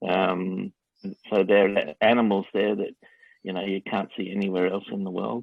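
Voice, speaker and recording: At a moderate pace, a man with an Australian accent speaks with a fairly low pitch and fairly even intonation. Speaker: interviewee answering students' questions. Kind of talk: interview. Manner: hesitant, many fillers.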